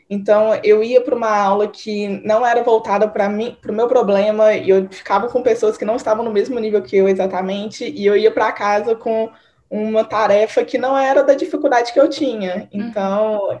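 Hardly pausing at all, a woman with a fairly high pitch speaks with ordinary pitch variation. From Minas Gerais, Brazil (Divinópolis). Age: 20s. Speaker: medical student. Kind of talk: casual interview. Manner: fast.

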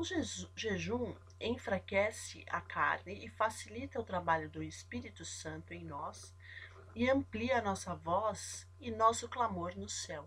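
The pace is very slow. Loudness swings widely from moment to moment. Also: woman. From São Paulo, Brazil. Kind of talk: devotional Bible teaching. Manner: halting, stops often.

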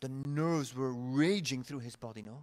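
At a moderate pace, a man with an unremarkable speaking voice talks at a fairly high pitch. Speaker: commentator and podcast host. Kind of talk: casual chat.

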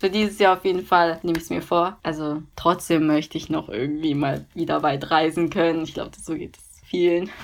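A woman with a fairly low pitch speaks in a normal speaking voice with fairly even intonation. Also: big swings in loudness. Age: 20s. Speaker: university student. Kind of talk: casual interview. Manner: filler-heavy (ähm, also).

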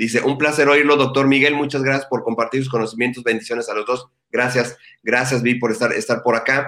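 A man at medium pitch, fairly quick in pace, with monotone, flat intonation. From Mexico, Ensenada. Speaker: online show host. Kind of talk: interview. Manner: halting.

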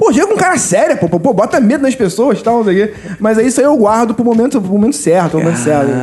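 A man talks at a very fast pace in a high pitch, with lively intonation and very even loudness. Noticeable background noise runs under his voice. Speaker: firefighter, very tall guest. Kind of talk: casual chat.

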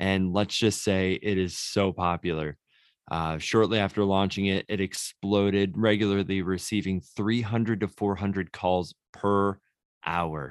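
A man talks at a fairly low pitch and a fairly slow pace. His intonation is fairly even, and the sound is dry and close with no echo. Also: very clean recording, silent background. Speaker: pastor and podcast co-host. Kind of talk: casual chat. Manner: low energy.

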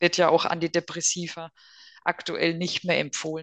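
Moderate pace with a dry, close sound and no echo. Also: woman. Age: 40s. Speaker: psychotherapy practitioner. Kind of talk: casual interview.

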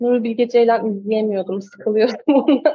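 A woman is speaking. Her voice sits fairly high. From Turkey, Kastamonu. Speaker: film director. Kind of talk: interview. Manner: hesitant, with many fillers.

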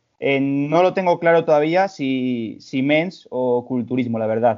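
His pitch shows ordinary variation. The man talks in a plain, everyday voice. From Spain, León. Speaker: personal trainer and amateur bodybuilder. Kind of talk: casual chat.

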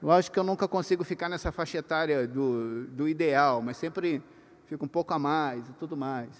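Pitched fairly high with ordinary pitch variation, a man talks at a moderate pace. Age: 50s. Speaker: workshop speaker for pastors. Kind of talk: lecture to a live audience. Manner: conversational, hesitant.

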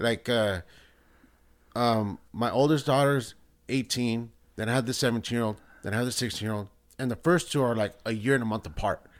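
Over a very clean recording with a silent background, a man at a medium pitch talks at a moderate pace with long, frequent pauses. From El Salvador, raised in US. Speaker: band booster parent. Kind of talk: casual chat.

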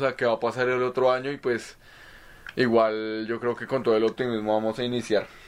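A man's voice moves along at a moderate pace. Background noise is noticeable throughout. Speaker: podcast co-host, psychology graduate. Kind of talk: casual chat.

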